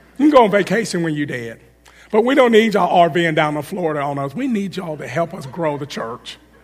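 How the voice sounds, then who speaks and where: A man with a high voice speaks very fast in an animated tone, his pitch swinging very widely and his loudness rising and falling sharply over noticeable background noise. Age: 40s. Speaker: guest preacher. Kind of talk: sermon. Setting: church.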